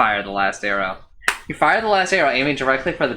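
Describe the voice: This is plain reading aloud. The text is read in that manner throughout.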